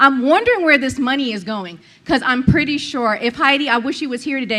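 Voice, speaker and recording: Loud and with a bright, sharp tone, a woman talks at a fairly quick pace with ordinary pitch variation. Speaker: public commenter, former school board member. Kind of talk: public comment at meeting. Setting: public meeting with microphone. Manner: confrontational.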